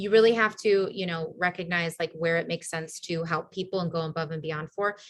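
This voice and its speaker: A woman's fairly low, somewhat breathy voice at a fairly quick pace, with fairly even intonation. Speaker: team leader running a business training call. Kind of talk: online team training call with screen share. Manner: fast; casual, filler-heavy.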